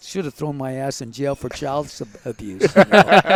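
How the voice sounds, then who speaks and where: Against a dry, close sound with no echo, a man with an American accent speaks at a moderate pace in a fairly high pitch with ordinary pitch variation. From southern Illinois. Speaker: weightlifting coach and former Marine. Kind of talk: podcast interview. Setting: on location at a sports event. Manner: animated.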